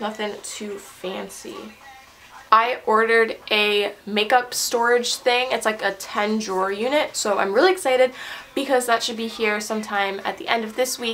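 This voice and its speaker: A woman's voice comes through noticeable background noise and audible room echo. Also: fairly high pitch for a woman, ordinary pitch variation. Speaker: beauty vlogger. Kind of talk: casual makeup tutorial. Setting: bathroom. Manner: fast; chatty.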